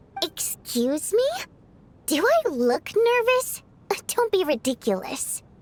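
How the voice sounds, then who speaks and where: A woman uses a put-on character voice of extremely high pitch with very wide pitch swings, speaking at a fairly slow pace with long, frequent pauses. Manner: defensive, indignant.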